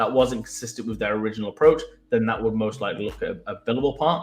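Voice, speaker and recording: A man speaks at a medium pitch in a Mancunian accent. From Manchester, England. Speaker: web developer. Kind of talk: casual chat.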